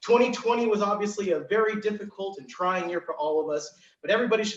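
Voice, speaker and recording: A loud, energetic man's voice, high in pitch, at a very fast pace. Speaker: event MC. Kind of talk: virtual event hosting.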